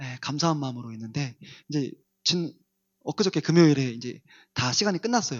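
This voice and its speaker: A soft-spoken man with a fairly high pitch talks at a fairly quick pace, his intonation lively and his loudness swinging widely. He leaves long, frequent pauses. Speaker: pastor. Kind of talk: sermon. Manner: varies between loud and soft.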